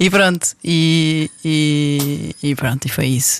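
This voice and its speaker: This woman has a very deep, low pitch. The sound is dry and close, with no echo. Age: 30s. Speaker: married mother of five. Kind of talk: casual interview conversation.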